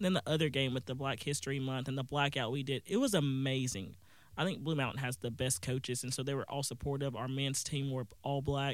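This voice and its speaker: A man with a Southern US accent speaks at a fairly quick pace, his medium pitch showing ordinary variation. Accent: Southern American. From US South, northeast Mississippi. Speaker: college student. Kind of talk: radio interview. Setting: studio.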